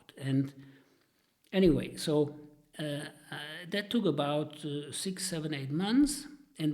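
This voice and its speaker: A man's somewhat breathy, fairly high-pitched voice at a fairly slow pace. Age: 70s. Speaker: retired engineer. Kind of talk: interview storytelling. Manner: halting, many fillers.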